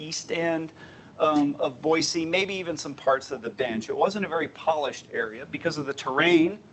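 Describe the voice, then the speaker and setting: There is noticeable background noise as someone with a slight Southern US accent speaks at a fairly quick pace. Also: man. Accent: slight Southern twang at times. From US South, Southern Appalachia. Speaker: transportation planner. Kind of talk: presentation.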